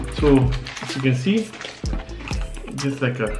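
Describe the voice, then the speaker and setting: A man's voice with clear music in the background. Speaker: vlogger. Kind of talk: casual vlog chat. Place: home room. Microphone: camera far.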